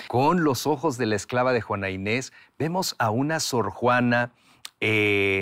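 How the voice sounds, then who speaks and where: A man's plain, everyday voice, medium in pitch with ordinary pitch variation and very even loudness, at a fairly slow pace on a very clean recording with a silent background. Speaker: writer and voice actor. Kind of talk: interview answer.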